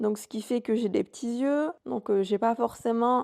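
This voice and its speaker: At a fairly slow pace, a dark, mellow tone comes through with a dry, close sound with no echo. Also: woman. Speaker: podcast host. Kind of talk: solo podcast monologue. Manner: monotone; hesitant, many fillers.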